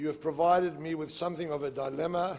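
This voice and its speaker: The speaker has a South African accent and talks at a moderate pace in a flat monotone. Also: man. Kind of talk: public lecture. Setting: stage with audience.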